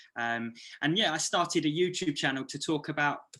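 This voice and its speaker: A fairly high male voice, bright and sharp in tone, with ordinary pitch variation against a quiet background. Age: 30s. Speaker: YouTuber and photographer. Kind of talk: presentation. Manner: stuttering; hesitant.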